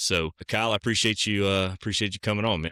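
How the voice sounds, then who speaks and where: A man's fairly low voice with a Southern US accent, bright and sharp in tone, with fairly even intonation, on a very clean recording with a silent background. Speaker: podcast host, realtor. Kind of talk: casual interview chat.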